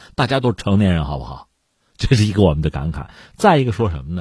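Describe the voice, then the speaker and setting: The man's voice has a dark, mellow tone with vocal fry. The recording is very clean, with a silent background. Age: middle-aged. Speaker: news commentator. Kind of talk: news commentary monologue. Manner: animated.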